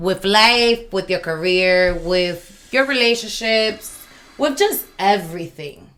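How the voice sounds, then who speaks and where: Over noticeable background noise, a woman speaks very slowly with ordinary pitch variation. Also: medium pitch for a woman. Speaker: podcast co-host. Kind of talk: casual chat.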